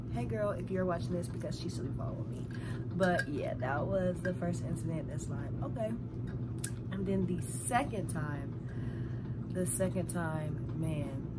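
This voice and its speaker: Over loud background noise, a woman speaks with long, frequent pauses. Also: fairly slow pace. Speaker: vlogger. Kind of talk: casual storytime vlog chat. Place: home room. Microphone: phone near.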